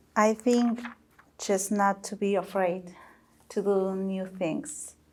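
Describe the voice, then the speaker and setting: With a non-native accent, a woman speaks at a fairly slow pace in a flat monotone at medium pitch. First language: not English. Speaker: panelist. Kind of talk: panel discussion.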